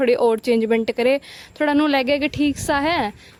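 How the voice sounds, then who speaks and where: A woman speaks with ordinary pitch variation. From Haryana. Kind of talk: casual vlog narration.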